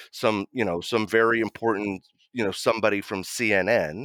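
Speaking at a moderate pace with an American accent, a man with a normal speaking voice and a fairly low pitch is captured dry and close with no echo on a very clean recording with a silent background. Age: 50s. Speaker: war photojournalist. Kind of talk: interview storytelling.

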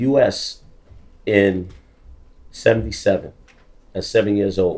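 A man speaks with a New York accent. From US, the Bronx, New York. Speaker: graffiti artist. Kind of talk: talk to a live audience. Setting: stage with audience.

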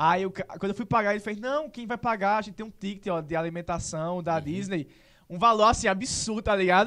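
This man's voice sits at a high pitch and carries a bright, sharp tone. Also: ordinary pitch variation, fairly quick pace. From Serra Branca, Paraíba, Brazil. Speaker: actor and social media content creator. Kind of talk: casual interview chat.

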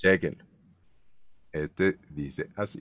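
The recording is very clean, with a silent background and a dry, close sound with no echo. The speaker is a man. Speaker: voice-over artist and show host. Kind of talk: casual chat. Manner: animated.

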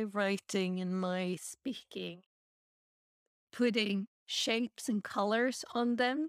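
A woman is speaking here. Her pace is very slow. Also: dry, close sound with no echo. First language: not English. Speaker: podcast host. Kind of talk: casual chat. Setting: video call.

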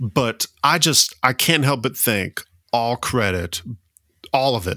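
A man's medium-pitched voice with a Southern US accent, bright and sharp in tone, with ordinary pitch variation and a dry, close sound with no echo in a very clean recording against a silent background. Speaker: history podcast co-host. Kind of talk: casual chat. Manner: animated.

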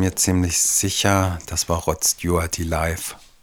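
A man speaks very slowly with a very deep, low pitch. Background noise is noticeable. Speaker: podcast co-host. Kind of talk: casual chat.

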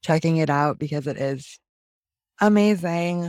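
A woman's very deep, low voice. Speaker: podcast co-host, creative entrepreneur. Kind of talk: casual chat. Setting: video call.

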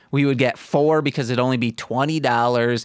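A man with an American accent, an ordinary speaking voice, medium pitch and ordinary pitch variation, on a very clean recording with a silent background. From Michigan. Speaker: podcast co-host. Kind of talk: casual chat.

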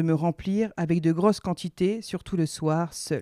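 A woman's fairly low, dark, mellow voice at a fairly slow pace with fairly even intonation, in a dry, close sound with no echo and a very clean recording over a silent background. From northern France (Nord-Pas-de-Calais). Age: 30s. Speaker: dietitian's patient sharing her story. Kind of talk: personal testimony, read aloud.

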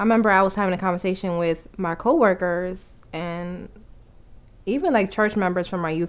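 With a New York accent, a woman speaks at a fairly quick pace in a medium pitch and fairly even intonation. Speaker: couple podcast co-host. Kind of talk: casual chat. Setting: home recording, sitting in front of the mic.

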